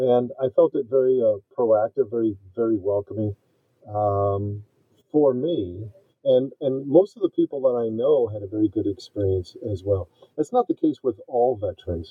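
A man uses a normal speaking voice, keeping a moderate pace and a medium pitch with ordinary variation. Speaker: navy veteran and project manager. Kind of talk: casual interview.

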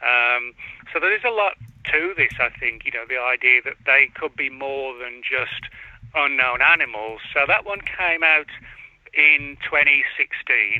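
A man's fairly high voice with an English accent, at a fairly slow pace with ordinary pitch variation. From England. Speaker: author. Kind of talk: interview. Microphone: laptop audio problems.

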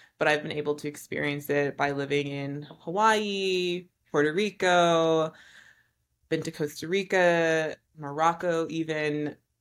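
A woman with an American accent speaks at a fairly slow pace in a very deep, low pitch, her intonation fairly even. The recording is very clean, with a silent background. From US Northeast, New York City. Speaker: fashion designer. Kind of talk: casual interview.

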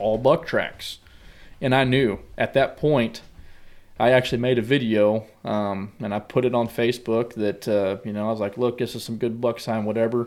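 A man speaks in a rural Missouri accent. His pace is moderate and his intonation fairly even. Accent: rural Missouri American. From US Midwest, southwest Missouri. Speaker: hunter and business owner. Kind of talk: casual chat.

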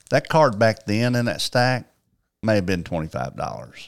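With a Southern US accent, a man speaks at a fairly slow pace and medium pitch in a very clean recording with a silent background. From Arkansas, Paragould. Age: 60s. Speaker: sports card collector and card show promoter. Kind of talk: storytelling in casual interview.

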